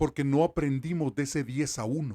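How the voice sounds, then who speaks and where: A man's fairly high voice, dark and mellow in tone, in a dry, close recording with no echo. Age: 60s. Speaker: sports journalist. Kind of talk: opinion commentary monologue.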